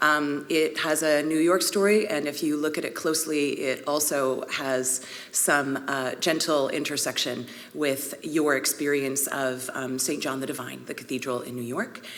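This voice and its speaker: A woman with a Vancouver accent speaks at a moderate pace in a very deep, low pitch with fairly even intonation, while audible room echo and noticeable background noise fill the recording. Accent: Canadian, Vancouver. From Canada, Vancouver, British Columbia. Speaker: priest and art historian. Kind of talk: conference talk. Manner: conversational, with fillers.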